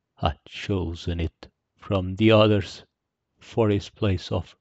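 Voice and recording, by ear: With the background quiet, the speaker is reading aloud in a natural voice.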